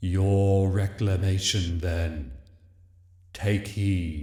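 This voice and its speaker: In a put-on character voice, a soft-spoken man talks at a very deep, low pitch. He goes at a very slow pace, with a slight echo around him. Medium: read story. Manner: gentle, grave.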